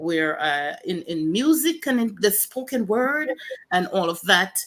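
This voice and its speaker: A woman speaks with a Jamaican accent at medium pitch and a moderate pace. Her pitch swings very widely. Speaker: pastor and author. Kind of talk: testimony.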